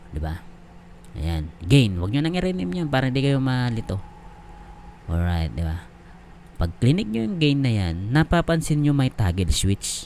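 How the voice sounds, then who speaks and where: A man speaks at a moderate pace with medium pitch and very wide pitch swings. He leaves long, frequent pauses. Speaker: YouTube tech tutorial creator. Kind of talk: tutorial. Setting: home, screen recording. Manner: casual, filler-heavy.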